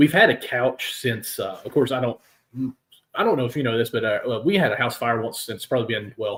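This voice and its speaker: A man speaks with a Kentucky accent. His pace is moderate. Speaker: sports podcast host. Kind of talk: casual chat. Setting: live stream.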